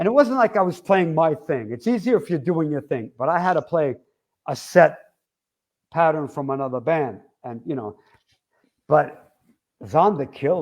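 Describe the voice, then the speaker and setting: A man with a New York accent speaks at a fairly high pitch, his voice swinging very widely. He leaves long, frequent pauses in a very clean recording with a silent background. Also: moderate pace. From Long Island, New York. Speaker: rock drummer. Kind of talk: interview. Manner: animated.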